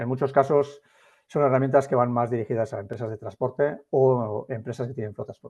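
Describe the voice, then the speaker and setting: Over a quiet background, a man talks at a fairly quick pace. His medium-pitched voice keeps a fairly even intonation. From Biscay, Basque Country, Spain. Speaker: industry AI consultant. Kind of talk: webinar presentation. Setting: online webinar. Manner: hesitant with many fillers.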